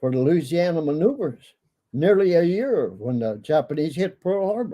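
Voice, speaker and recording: A man's high-pitched voice with an American accent, dark and mellow in tone, at a moderate pace with very wide pitch swings. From Minnesota, USA. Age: 80s+. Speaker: war veteran. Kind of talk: interview answer.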